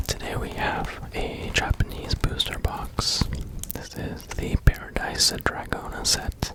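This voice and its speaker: Noticeable background noise runs beneath a whisper delivered very slowly. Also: man. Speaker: ASMR content creator. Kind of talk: ASMR ramble while opening trading cards. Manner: whispered, soft-spoken.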